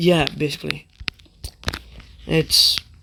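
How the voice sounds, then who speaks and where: Noticeable noise fills the background while the words come out very slowly. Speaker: gaming youtuber. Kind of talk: casual gaming commentary. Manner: halting, repetitive.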